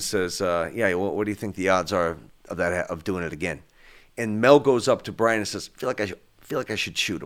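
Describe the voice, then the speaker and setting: A man's fairly low voice at a moderate pace with long, frequent pauses, on a very clean recording with a silent background. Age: 50s. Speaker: actor. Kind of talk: interview. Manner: halting, repeats words.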